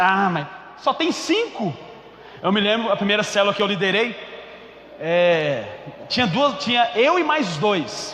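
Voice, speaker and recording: With a Goiás accent, a man speaks in a high, animated voice with lively intonation at a moderate pace, leaving long, frequent pauses. Noticeable background noise and audible room echo surround him. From Goiás, Brazil. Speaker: pastor. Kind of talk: sermon. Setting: church.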